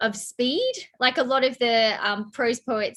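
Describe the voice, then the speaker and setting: Bright and sharp in tone, a woman talks in an Australian accent. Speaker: poet and scholar interviewing. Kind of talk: casual interview.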